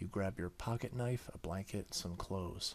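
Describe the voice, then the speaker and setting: Soft-spoken and fairly low in pitch, a man talks at a moderate pace with ordinary pitch variation. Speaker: gaming YouTuber. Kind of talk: let's play visual novel reading.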